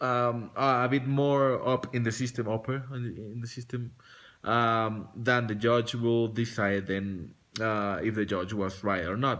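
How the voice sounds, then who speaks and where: A man talks at a fairly slow pace with a Spanish accent. His intonation is fairly even. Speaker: vlogger. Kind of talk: casual vlog monologue. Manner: halting, many fillers and restarts.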